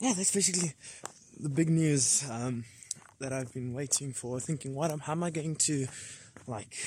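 Somewhat breathy and dark, mellow in tone, a man speaks at a moderate pace with ordinary pitch variation, the dry sound having no echo and light background noise behind it. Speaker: vlogger. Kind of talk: casual vlog chat. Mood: cheerful, excited. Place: forest. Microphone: phone near.

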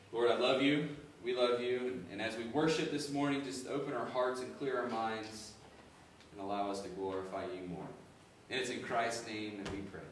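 A man speaks at a moderate pace with ordinary pitch variation. Audible room echo and light background noise are present. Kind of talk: scripture reading and prayer. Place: church. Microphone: camera far.

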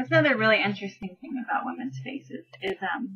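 A woman speaks fast at a medium pitch, her tone fairly bright with a husky, rough edge. Her intonation is lively.

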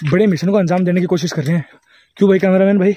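This man's voice sits high in pitch, with a dark, mellow tone. The sound is dry, without echo. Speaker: vlogger. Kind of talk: casual vlog chat. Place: street. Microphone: phone near.

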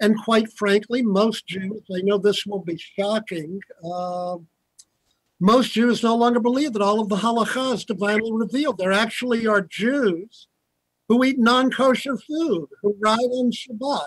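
A man's high-pitched voice at a fairly slow pace, with ordinary pitch variation, a quiet background and a dry sound with no echo. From US South, Virginia. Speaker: rabbi and historian; respondent lecturer. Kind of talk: lecture. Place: office. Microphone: video call.

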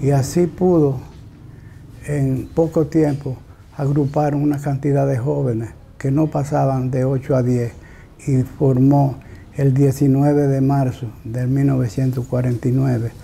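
A man speaks with a Dominican accent in a dark, mellow, somewhat breathy voice, his intonation fairly even. He talks at a very slow pace with long, frequent pauses over light background noise. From Dominican Republic. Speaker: local historian. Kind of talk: historical account. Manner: halting. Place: home room. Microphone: lapel.

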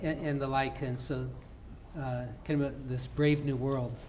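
A man speaks at a medium pitch with a slightly mellow tone. His pitch moves little, the pace is moderate, and faint background noise can be heard.

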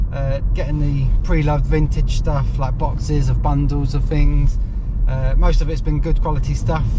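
At a moderate pace, a man talks over noticeable background noise, the sound dry with no echo. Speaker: online reseller vlogger. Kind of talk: casual vlog chat. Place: car. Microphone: phone near.

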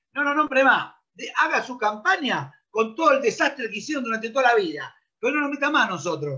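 A man's raised, projected voice, extremely high-pitched, bright and sharp, fairly quick, with lively intonation and an animated tone over a quiet background. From Argentina. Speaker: football coach. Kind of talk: interview; interview answer. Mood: indignant complaint. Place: home room. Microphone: video call.

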